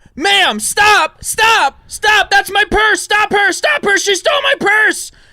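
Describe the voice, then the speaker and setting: A put-on character voice, shouting at an extremely high pitch and a fairly slow pace. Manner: shouting, panicked.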